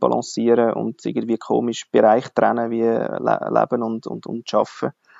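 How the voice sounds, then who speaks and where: A man with a Swiss German accent speaks quite quickly at a medium pitch in a monotone, flat delivery. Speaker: podcast host. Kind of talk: interview.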